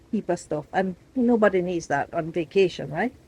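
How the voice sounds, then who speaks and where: A woman's medium-pitched voice with a Jamaican accent, dark and mellow in tone, at a fairly quick pace with ordinary pitch variation. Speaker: travel vlogger. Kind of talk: casual vlog chat to camera. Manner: chatty, animated.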